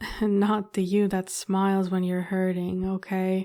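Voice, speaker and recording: A woman's medium-pitched voice, dark, mellow and gentle in tone, at a very slow pace on a very clean recording with a silent background. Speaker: ASMR roleplay performer. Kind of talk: ASMR comfort roleplay. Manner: soft-spoken, gentle, comforting.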